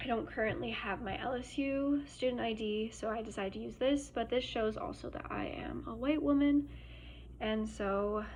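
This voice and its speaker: In a room with audible echo, a woman with an American accent speaks at a moderate pace. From Germany. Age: 20s. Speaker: student. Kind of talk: class presentation. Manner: hesitant, many fillers.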